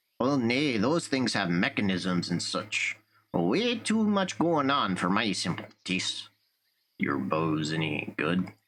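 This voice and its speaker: A man performs a put-on character voice. It sits fairly low in pitch and moves at a fairly slow pace. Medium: solo performance. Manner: blunt, folksy, grumbling.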